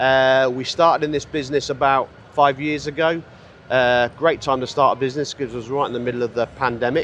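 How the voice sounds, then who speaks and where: A man with a British accent talks at a fairly quick pace. His medium-pitched voice has monotone, flat intonation. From UK. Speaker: cigar brand founder. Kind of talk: interview. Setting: trade show floor.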